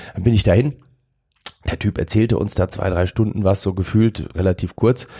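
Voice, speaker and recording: A man's fairly low, somewhat breathy voice, dark and mellow in tone, at a fairly quick pace with ordinary pitch variation. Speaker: mentalist. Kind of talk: casual interview.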